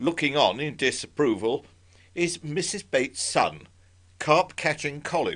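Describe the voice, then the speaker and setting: Over a quiet background, a man with a fairly high pitch speaks with vocal fry. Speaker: club talk presenter. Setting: talk to club audience. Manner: formal; wry, dry-witted.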